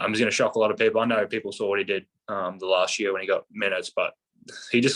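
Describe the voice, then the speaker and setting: A man speaks at a very fast pace with an Australian accent. The sound is dry and close, with no echo. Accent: Australian, kept it. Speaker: professional basketball player. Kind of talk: podcast interview. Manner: casual, many fillers.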